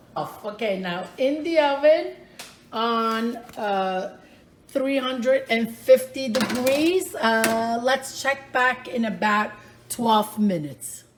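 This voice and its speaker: Very slowly and with lively intonation, a woman speaks at a fairly high pitch. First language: Italian. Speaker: home cook, cooking channel host. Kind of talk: cooking tutorial. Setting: home kitchen. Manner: casual, chatty.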